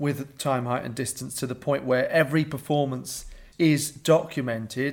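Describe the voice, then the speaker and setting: This man has a normal speaking voice with fairly high pitch. He keeps a moderate pace and fairly even intonation. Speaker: producer interviewer. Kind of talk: interview.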